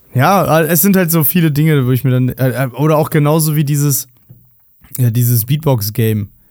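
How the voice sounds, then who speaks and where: A man's normal speaking voice, a normal speaking voice, fairly high in pitch with ordinary pitch variation, moderate pace and very even loudness. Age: 30s. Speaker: podcast co-host. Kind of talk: casual chat.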